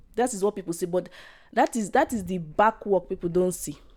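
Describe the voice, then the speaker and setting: A woman's voice, dark and mellow in tone. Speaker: podcaster. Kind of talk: casual podcast talk to camera.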